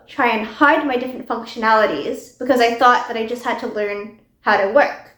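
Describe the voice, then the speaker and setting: High female voice with audible room echo. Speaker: chemistry PhD student. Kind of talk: personal testimony.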